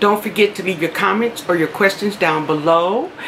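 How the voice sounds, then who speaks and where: Light background noise sits behind a woman whose pitch shows ordinary variation. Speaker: beauty vlogger. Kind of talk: casual vlog chat. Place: home room. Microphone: phone near.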